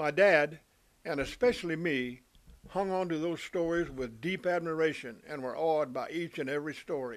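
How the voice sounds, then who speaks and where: This man's voice sits fairly high and moves at a moderate pace. His pitch varies in an ordinary way. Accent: Texan. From US South, Texas Panhandle. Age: 70s. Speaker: storyteller. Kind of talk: first-person storytelling.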